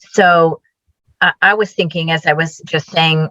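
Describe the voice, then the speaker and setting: A woman with a fairly low pitch and a bright, sharp tone keeps a fairly even intonation in a dry, close sound with no echo. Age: 60s. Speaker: client. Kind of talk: interview. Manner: halting.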